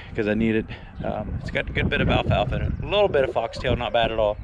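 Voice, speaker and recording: A man speaks over noticeable background noise. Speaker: farmer. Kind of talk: casual vlog narration. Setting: outdoors. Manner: casual.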